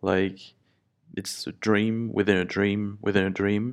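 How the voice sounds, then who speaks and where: A man's fairly low voice with a French accent, very slow and monotone, flat in intonation, on a very clean recording against a silent background. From France. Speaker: podcast host. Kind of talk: solo podcast monologue. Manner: hesitant, with fillers.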